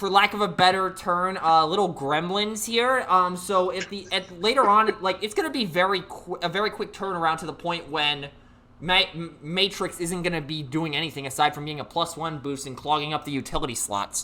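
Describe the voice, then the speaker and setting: Delivered at a moderate pace with hardly any pauses, the speech sits over noticeable background noise. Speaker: tournament stream host and commentator. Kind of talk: live game commentary. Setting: online voice call. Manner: loud; animated.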